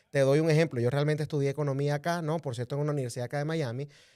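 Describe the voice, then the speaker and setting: In a very clean recording with a silent background, a man with a Venezuelan accent talks at a fairly high pitch with ordinary pitch variation. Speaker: political commentator. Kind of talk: interview.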